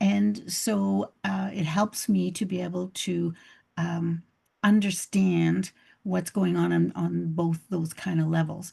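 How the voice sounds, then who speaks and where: Here a woman speaks with a Canadian accent. The background is quiet. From Canada. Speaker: couples therapist. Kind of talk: interview. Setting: video call.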